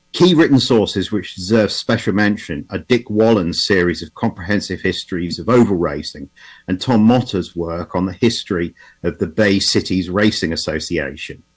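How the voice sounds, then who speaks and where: A man with an English accent speaks at a fairly low pitch with ordinary pitch variation. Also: moderate pace. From England. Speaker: automotive historian. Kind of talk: conference talk. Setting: video call. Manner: halting, with repetitions.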